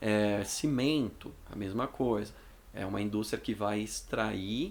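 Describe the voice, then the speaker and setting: Audible room echo surrounds a man's fairly low voice. He speaks with vocal fry and ordinary pitch variation. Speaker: school teacher. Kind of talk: lecture. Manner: casual, with fillers.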